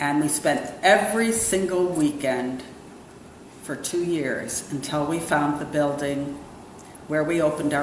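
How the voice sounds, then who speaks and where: A woman with an American accent speaks at a fairly slow pace in a very deep, low pitch with ordinary pitch variation. Noticeable background noise and audible room echo fill the recording. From New York City and Brussels. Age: 60s. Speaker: restaurant owner. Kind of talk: interview.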